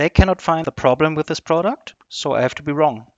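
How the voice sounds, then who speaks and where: A man's voice at a moderate pace. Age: 40s. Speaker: customer service manager. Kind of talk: interview. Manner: halting.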